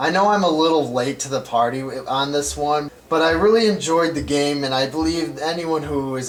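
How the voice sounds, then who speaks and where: A man speaks with ordinary pitch variation and a moderate pace as noticeable background noise carries on. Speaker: video game reviewer. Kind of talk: game review voice-over.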